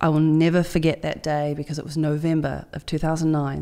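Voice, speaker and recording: With a New Zealand accent, a woman speaks in a very deep, low pitch and a dark, mellow tone. The recording is very clean with a silent background. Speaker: marathon open water swimmer. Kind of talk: interview conversation.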